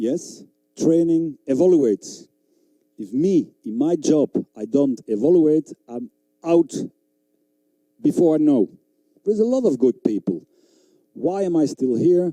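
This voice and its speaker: With a non-native accent, a man speaks at a fairly slow pace in a dark, mellow tone, taking long, frequent pauses. His pitch swings very widely, and the sound is dry and close with no echo. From Belgium (Flanders). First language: Flemish. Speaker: dog trainer. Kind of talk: seminar lecture. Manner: animated.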